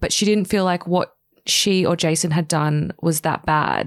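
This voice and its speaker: A woman with an Australian accent speaks at a moderate pace in a fairly low pitch with ordinary pitch variation. The sound is dry and close with no echo, and the recording is very clean with a silent background. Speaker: podcast host. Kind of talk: casual interview chat. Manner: animated.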